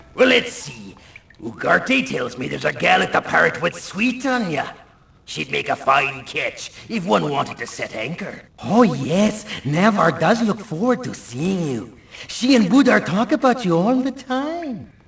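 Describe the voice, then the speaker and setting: A man's put-on character voice, high-pitched, with very wide swings in pitch. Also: moderate pace. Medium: video game. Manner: hearty, jokey.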